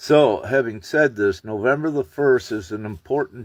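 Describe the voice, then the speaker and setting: A man's voice in a dry, close sound with no echo, against a quiet background. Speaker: spiritual channel host. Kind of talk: live stream monologue. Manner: loud; hesitant, filler-heavy. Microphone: phone.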